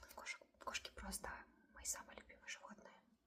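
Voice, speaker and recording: Here a woman speaks at a moderate pace. Noticeable background noise is present. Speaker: ASMR creator. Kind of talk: ASMR storytime and rambling to camera. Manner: soft, repetitive, cooing.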